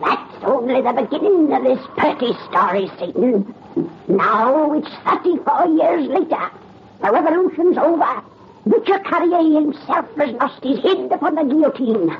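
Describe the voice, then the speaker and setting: A put-on character voice comes through at a high pitch. Light background noise is present. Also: moderate pace. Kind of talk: 1930s radio horror host. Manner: cackling, relishing the gruesome.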